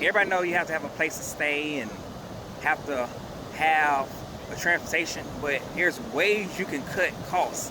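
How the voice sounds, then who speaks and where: There is noticeable background noise behind a man whose voice sits high in pitch. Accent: American. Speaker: investing podcast host. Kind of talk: casual podcast monologue. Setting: outdoors at the beach.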